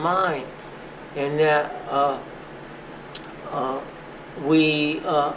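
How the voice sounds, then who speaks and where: The delivery is monotone, with flat intonation. Noticeable background noise runs underneath. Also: man, fairly high pitch for a man. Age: 80s+. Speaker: physician and museum founder. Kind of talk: oral history interview answer.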